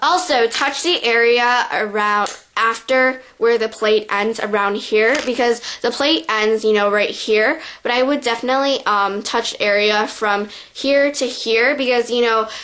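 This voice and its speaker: A woman with an unremarkable speaking voice speaks at a fairly slow pace, her fairly high pitch showing ordinary variation and her loudness staying very even. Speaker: beauty vlogger. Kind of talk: tutorial. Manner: casual, filler-heavy.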